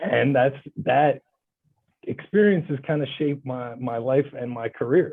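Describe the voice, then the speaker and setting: The man talks at a moderate pace, his fairly high pitch showing ordinary variation. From Bulgaria-born, raised in US (New York). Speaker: lawyer. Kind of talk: interview. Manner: loud; animated.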